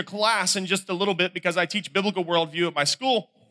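In a raised, projected voice with an American accent, the speaker goes at a very fast pace with a bright, sharp tone and fairly even intonation, the sound dry and close with no echo. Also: man. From North Carolina. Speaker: camp speaker. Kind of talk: sermon. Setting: stage with audience.

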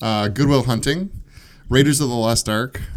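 Moderately paced male speech in a normal speaking voice, pitched medium, with ordinary pitch variation. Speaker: podcast host. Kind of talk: casual chat.

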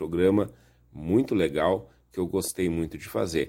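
A man's voice sits at a very deep, low pitch and moves at a fairly slow pace. The recording is very clean, with a silent background. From Rio Grande do Sul, Brazil (Viamão). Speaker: radio host. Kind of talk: radio show presenting. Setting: studio.

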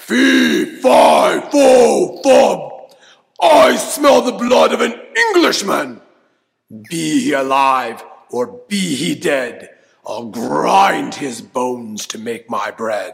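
A man's put-on character voice at a very slow pace. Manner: fearsome, menacing.

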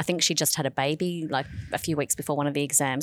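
With an Australian accent, a woman talks at a very fast pace in a very deep, low pitch with ordinary pitch variation, recorded very cleanly against a silent background. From Australia, Sydney / New South Wales. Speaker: law professor. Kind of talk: radio interview. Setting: school radio studio.

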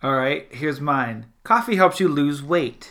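In an American accent, a man speaks at a moderate pace with a fairly high pitch and ordinary pitch variation. His tone is bright and sharp, and the recording is very clean with a silent background. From US South, South Louisiana. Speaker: podcast host and cartoonist. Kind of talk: casual chat. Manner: animated.

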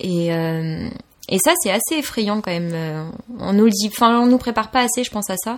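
A woman's ordinary speaking voice, medium in pitch, with lively intonation at a moderate pace. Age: 20s. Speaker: photographer and cook, communications graduate. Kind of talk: interview.

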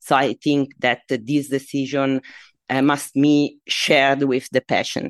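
Very deep and low, a woman's voice comes with an Italian accent, monotone and flat in intonation at a fairly slow pace. Her loudness stays very even, and the sound is dry and close with no echo. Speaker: medical oncologist. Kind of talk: expert interview.

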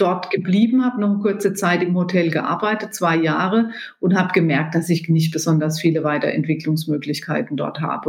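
Her voice sits at a fairly low pitch for a woman. Noticeable background noise is present. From Germany, rural. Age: 50s. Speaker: business executive. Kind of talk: interview.

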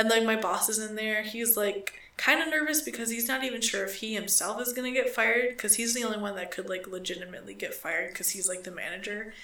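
A woman's fairly high voice at a very fast pace with hardly any pauses, over noticeable background noise. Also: ordinary pitch variation. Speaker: podcast co-host. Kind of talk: casual chat, crude humor. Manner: joking, profane.

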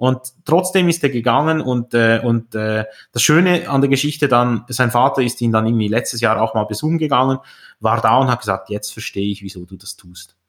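A man with a plain, everyday voice talks at a moderate pace and medium pitch, with ordinary pitch variation and big swings in loudness. The recording is very clean against a silent background. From Switzerland. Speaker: entrepreneur and investor. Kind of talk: interview.

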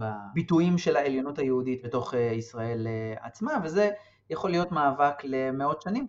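This man has a normal speaking voice. His pitch variation is ordinary. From West Bank settlement near Hebron. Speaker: political science researcher. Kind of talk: interview.

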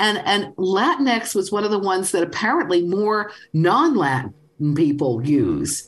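A woman with a New York accent talks at a fairly slow pace and a very even loudness, using very wide pitch swings and vocal fry. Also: medium pitch for a woman. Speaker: language author. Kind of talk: call-in radio show.

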